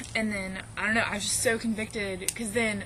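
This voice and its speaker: Noticeable background noise and audible room echo surround a woman talking at a moderate pace. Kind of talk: casual vlog testimony. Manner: animated.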